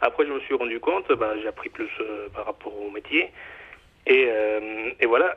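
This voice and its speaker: Long pauses come often in this man's speech. Between them, his pace is moderate. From Mexico. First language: Spanish (speaking French). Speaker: chocolate bar owner. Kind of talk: interview. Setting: phone call. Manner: halting.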